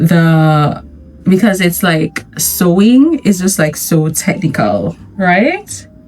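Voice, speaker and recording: Over music in the background, a woman with a fairly low pitch speaks at a very slow pace. Her loudness stays very even while her intonation is lively. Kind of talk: casual talk to camera. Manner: chatty, candid.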